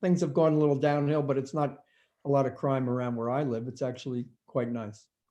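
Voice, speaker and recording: A man speaks in a dark, mellow tone. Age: 70s. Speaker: retired attorney. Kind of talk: interview.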